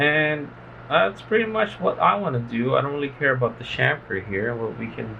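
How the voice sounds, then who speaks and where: A man's loudness swings widely as he talks at a moderate pace against noticeable background noise. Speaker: engineering tutorial maker. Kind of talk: tutorial. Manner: casual, with filler words.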